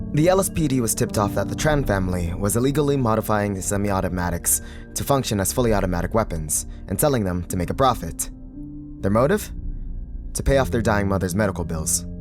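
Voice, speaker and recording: Over music in the background, a man with a fairly low pitch talks at a very fast pace with lively intonation. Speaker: voice actor. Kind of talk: video essay narration.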